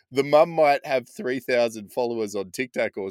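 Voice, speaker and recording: With an Australian accent, a man speaks at a medium pitch and moderate pace in a dry, close sound with no echo, on a very clean recording with a silent background. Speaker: podcast host. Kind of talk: casual chat.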